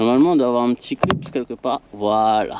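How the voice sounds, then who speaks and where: With a Réunion accent, a man speaks at a fairly slow pace and a medium pitch. Noticeable background noise is present, and the sound is dry and close with no echo. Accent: Creole (Réunion). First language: Réunion Creole (speaking French). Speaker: DIY car repair vlogger. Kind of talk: tutorial. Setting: working on a car, filmed with action camera. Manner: halting, many fillers and repetitions.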